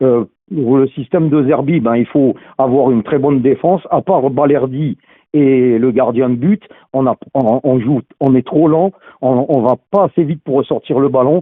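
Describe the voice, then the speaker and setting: A man's ordinary speaking voice, an ordinary speaking voice at medium pitch, fairly slow, with ordinary pitch variation and very even loudness. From Lorraine, France (Meurthe-et-Moselle). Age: 60s. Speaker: football fan caller. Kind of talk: phone-in call.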